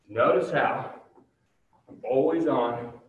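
With an upbeat tone, a man speaks in a space with audible room echo. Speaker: fitness director and workout instructor. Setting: home or gym workout video recorded to camera, with a ladder behind him. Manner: friendly and conversational, calling the viewers 'guys' and cheering them on. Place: gym. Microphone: camera far.

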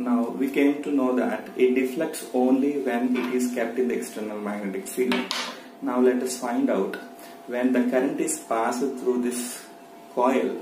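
A man at a fairly slow pace, monotone and flat in intonation, with audible room echo and light background noise. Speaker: science teacher. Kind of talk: tutorial. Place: home room. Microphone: phone near.

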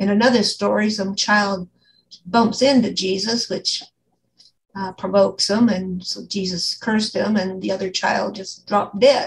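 A woman's somewhat breathy voice at a moderate pace, with fairly even intonation and light background noise. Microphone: video call.

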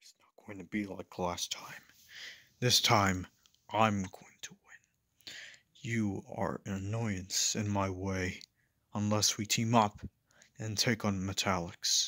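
Speaking fairly slowly with long, frequent pauses, a man uses a monotone, flat intonation at a fairly low pitch, with big swings in loudness. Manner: boastful, scheming.

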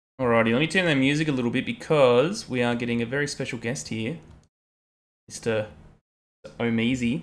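A man with an Australian accent talks at a fairly quick pace in a medium pitch, broken by long, frequent pauses. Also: ordinary pitch variation. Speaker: chess streamer. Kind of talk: casual live stream chat while playing chess. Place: home room. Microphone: headset.

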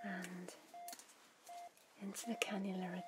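Over loud background noise, a soft-spoken woman talks at a fairly slow pace. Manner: soft, hushed ASMR voice through mask. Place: home room. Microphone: studio mic.

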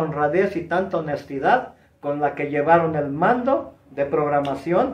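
A man at a fairly slow pace, with audible room echo and a quiet background. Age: 70s. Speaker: retired professional wrestler. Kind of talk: interview, reminiscing. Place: home room. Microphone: camera far.

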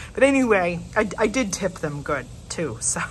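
There is light background noise. Through it, a woman talks. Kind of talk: casual vlog chat. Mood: happy, excited. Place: cafe. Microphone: phone near.

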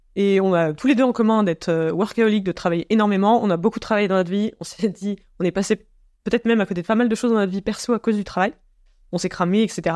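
In a quiet setting, a woman talks very fast with fairly even intonation, her voice dry and close with no echo. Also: medium pitch for a woman. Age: 30s. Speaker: climate communication researcher. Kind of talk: casual interview. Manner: hesitant with many fillers.

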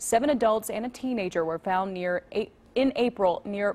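An unremarkable speaking voice moves at a moderate pace. Its pitch varies in an ordinary way. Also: woman. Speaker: news anchor. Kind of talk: local TV newsreading, brisk and conversational. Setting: studio. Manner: clear, polished, upbeat.

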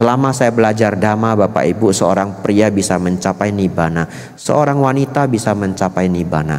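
A man talks fairly quickly at a fairly low pitch with ordinary pitch variation. His loudness stays very even. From Medan, North Sumatra, Indonesia; North Sumatra, Indonesia. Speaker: Buddhist monk; Buddhist monk teacher. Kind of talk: sermon. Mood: warm, lightly humorous. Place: hall. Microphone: handheld.

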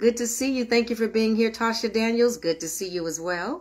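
A woman talks at a moderate pace with a warm tone. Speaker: minister leading online prayer meeting. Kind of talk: sermon. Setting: livestream. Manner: warm, affectionate. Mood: warm, earnest, exhorting. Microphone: phone near.

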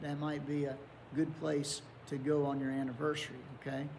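The voice is somewhat breathy, with an Appalachian accent. Light background noise sits behind it. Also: man. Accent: Appalachian American. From southern West Virginia (Welch area); West Virginia. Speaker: pastor. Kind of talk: Bible study lesson. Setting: online video recording. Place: church.

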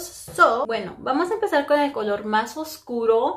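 A woman with lively intonation at a fairly slow pace. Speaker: beauty vlogger. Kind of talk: makeup tutorial vlog. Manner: speaking quietly; casual, filler-heavy. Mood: playful, chatty. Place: bathroom. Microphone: phone near.

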